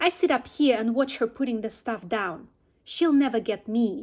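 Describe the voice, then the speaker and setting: A woman puts on a shrill, growling character voice at a high pitch. She speaks at a moderate pace over a silent background in a very clean recording. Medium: read story.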